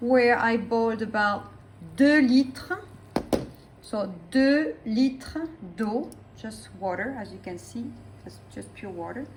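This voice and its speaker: Amid noticeable background noise and audible room echo, a woman with a French accent speaks very slowly at a fairly high pitch. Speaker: French teacher. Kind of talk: cooking tutorial with language teaching. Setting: home kitchen.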